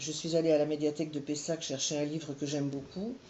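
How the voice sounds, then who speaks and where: At a fairly quick pace, a woman speaks in a very deep, low voice. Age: 60s. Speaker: volunteer reader for children. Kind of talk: interview testimony.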